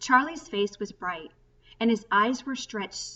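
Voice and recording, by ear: A natural voice reading aloud.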